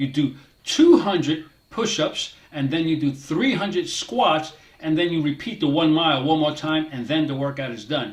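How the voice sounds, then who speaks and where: Fairly high in pitch, a man speaks at a moderate pace in a plain, everyday voice with lively intonation. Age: 60s. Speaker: fitness motivation creator, cybersecurity worker. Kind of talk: casual talk to camera. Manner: motivational, conversational.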